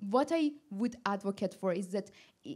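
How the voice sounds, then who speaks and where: A woman speaks with a non-native accent. The recording is very clean with a silent background. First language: not English. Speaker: machine learning director on a panel. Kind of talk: panel discussion. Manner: halting, with many restarts.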